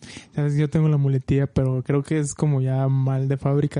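A man with a Mexican accent speaks at a fairly high pitch in a dark, mellow tone. His intonation is monotone and flat, and the sound is dry and close with no echo. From Mexico, Michoacán. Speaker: film podcast co-host. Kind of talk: casual chat.

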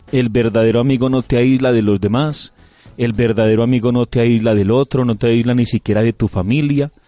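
Over music in the background, a man talks at a fairly quick pace and medium pitch, with fairly even intonation and very even loudness. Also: dry, close sound with no echo. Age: 30s. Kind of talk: radio reflection chat.

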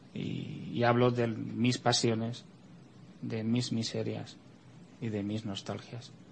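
A somewhat breathy man speaks at a very slow pace, with long, frequent pauses. His intonation is monotone and flat, and the room has audible echo. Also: medium pitch for a man. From Spain. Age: 40s. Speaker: writer. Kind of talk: interview. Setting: studio.

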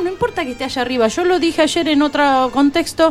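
A woman speaks over noticeable background noise. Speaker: folk singer. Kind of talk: radio interview.

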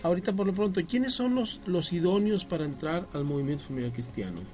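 Talking at a fairly quick pace, a man's voice moves in very wide pitch swings. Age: 40s. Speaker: radio host. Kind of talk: casual chat. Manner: halting.

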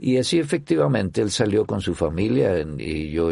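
A man speaks at a very deep, low pitch in a dark, mellow tone. His voice carries vocal fry and lively intonation. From Chile. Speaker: orchestra conductor. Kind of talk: interview. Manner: halting.

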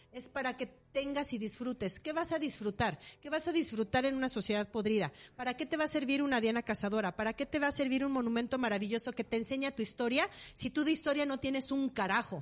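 A woman talks at a very fast pace in an animated tone. Her pitch is high, with ordinary variation. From Mexico, Morelia. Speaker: podcast co-host. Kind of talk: casual chat.

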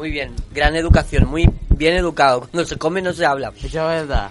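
The speech moves at a moderate pace with hardly any pauses, fairly even intonation and big swings in loudness, over noticeable background noise. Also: man. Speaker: radio host. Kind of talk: live radio talk with young participants.

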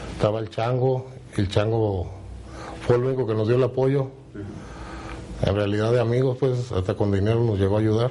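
Over noticeable background noise, a man with a medium pitch speaks at a fairly quick pace but takes long, frequent pauses. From Mexico, Guadalajara, Jalisco. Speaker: former cartel member. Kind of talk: interview testimony.

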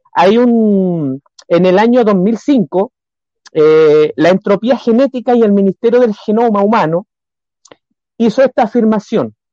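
The sound is dry and close, with no echo, and the loudness is very even. A man with a high pitch and a dark, mellow tone speaks at a fairly slow pace with ordinary pitch variation and long, frequent pauses. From Chile, Coronel. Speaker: church planter. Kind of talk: religious talk show discussion. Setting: video call.

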